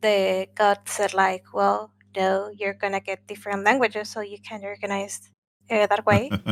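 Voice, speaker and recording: A woman with a Spanish accent talks at a fairly slow pace in a medium pitch. The recording is very clean and the background silent. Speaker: gaming podcast co-host. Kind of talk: casual chat. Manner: halting, many fillers.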